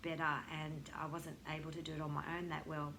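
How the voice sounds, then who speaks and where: With a bright, sharp tone, a woman talks at a fairly quick pace amid audible room echo. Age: 60s. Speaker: yoga teacher and counsellor. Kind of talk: testimony.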